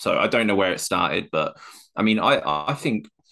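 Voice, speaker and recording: Against a quiet background, a man with a fairly low pitch talks in a normal speaking voice. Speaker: co-host, football fan. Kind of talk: casual chat about football.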